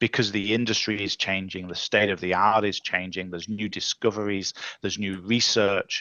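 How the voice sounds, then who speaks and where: A man with an English accent talks at a fairly quick pace. His pitch is fairly low. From England. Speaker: tech leadership coach. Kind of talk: casual chat.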